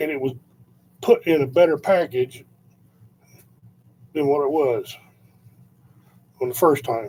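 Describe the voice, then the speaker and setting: A man's fairly high, somewhat breathy voice with a dark, mellow tone, ordinary pitch variation, a fairly slow pace and long, frequent pauses. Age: 60s. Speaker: vlogger. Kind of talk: casual monologue. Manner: halting.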